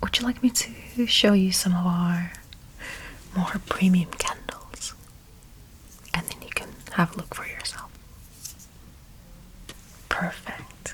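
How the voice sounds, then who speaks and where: Whispering very slowly, a man leaves long, frequent pauses while his loudness swings widely, with noticeable background noise behind him. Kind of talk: ASMR roleplay as a candle shop assistant. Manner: soft-spoken, whispering.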